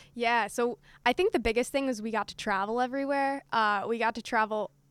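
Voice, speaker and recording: A woman with a normal speaking voice talks at a fairly quick pace with fairly even intonation. The sound is dry and close, with no echo. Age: 20s. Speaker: college field hockey player. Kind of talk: casual interview. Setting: stadium press box.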